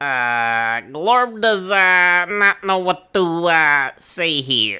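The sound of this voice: Using a put-on character voice, a man pitches himself high. His delivery is very slow.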